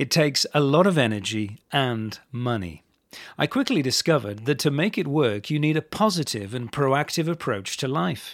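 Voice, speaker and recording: A man with a British accent speaks at a moderate pace, his pitch fairly high and his intonation lively. The recording is very clean, with a silent background. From England. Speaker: English language coach. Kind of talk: scripted narration. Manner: clear and measured.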